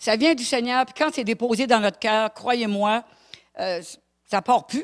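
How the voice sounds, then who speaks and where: A woman speaks at a fairly slow pace with a fairly high pitch. The recording is very clean, with a silent background and a dry, close sound with no echo. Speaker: preacher. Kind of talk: sermon. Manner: animated.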